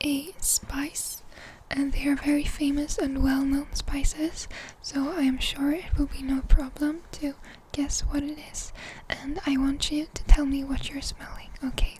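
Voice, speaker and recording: Soft-spoken and calm in tone, the voice moves at a fairly slow pace over noticeable background noise. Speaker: ASMR creator playing a doctor. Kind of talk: ASMR medical role-play, soft-spoken. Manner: soft-spoken, calm.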